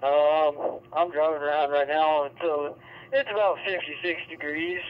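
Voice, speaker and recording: This man keeps a moderate pace and fairly even intonation. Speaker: remote ham radio operator. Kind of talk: radio conversation. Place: car. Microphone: two way radio.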